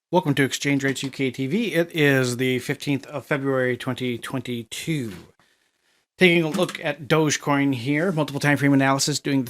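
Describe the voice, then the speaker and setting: In a very clean recording with a silent background, a man with a slight Minnesota accent talks at a moderate pace, his pitch fairly high with ordinary variation. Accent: northern US (Minnesota) accent, slight. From US Upper Midwest (Minnesota). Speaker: crypto market analyst. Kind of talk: technical analysis commentary. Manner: casual, halting with many fillers.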